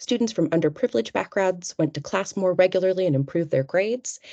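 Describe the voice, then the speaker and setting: A woman with a medium pitch and a dark, mellow tone talks at a very fast pace with lively intonation. The sound is dry and close with no echo, against a quiet background. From United States. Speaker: researcher. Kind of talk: webinar presentation. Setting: online webinar.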